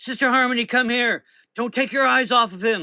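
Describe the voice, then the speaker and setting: A man does a put-on character voice at an extremely high pitch and a moderate pace. The recording is very clean with a silent background. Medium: read story. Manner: forceful, emotional.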